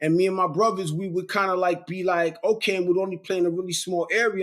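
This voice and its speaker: A man speaks with a New York accent. His voice sits high in pitch for a man. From Brooklyn, New York. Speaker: real estate investor and mentor. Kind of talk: interview. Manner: casual, repetitive stammering.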